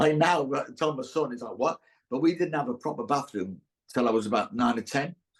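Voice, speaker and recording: Speaking with a Teesside accent, a man talks at a fairly quick pace and a fairly high pitch with lively intonation. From northern England, Middlesbrough, Teesside. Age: 60s. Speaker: actor. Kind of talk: casual chat. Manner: halting.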